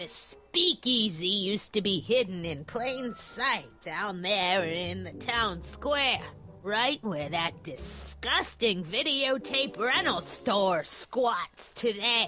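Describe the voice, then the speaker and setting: Using a put-on character voice at medium pitch, a woman speaks very slowly with lively intonation. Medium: video game. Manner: scolding, prim, sharp.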